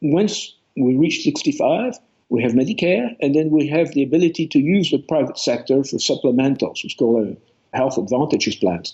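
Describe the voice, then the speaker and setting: Using lively intonation, a man with a French accent talks at a moderate pace with a fairly high pitch. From France. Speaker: author. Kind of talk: interview.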